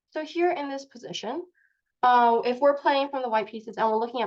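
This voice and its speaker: A fairly quick pace with lively intonation. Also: woman. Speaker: chess teacher. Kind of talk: online lecture. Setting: video call. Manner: fast.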